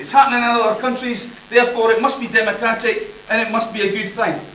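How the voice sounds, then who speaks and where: A man's raised, projected voice in a Scottish accent, extremely high-pitched and fairly quick, with fairly even intonation, audible room echo and noticeable background noise. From Scotland. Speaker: university lecturer. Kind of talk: conference presentation. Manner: loud.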